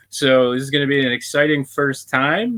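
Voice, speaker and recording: A man with an American accent, a fairly high pitch and a fairly slow pace. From Western Pennsylvania. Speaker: podcast host. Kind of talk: casual interview chat.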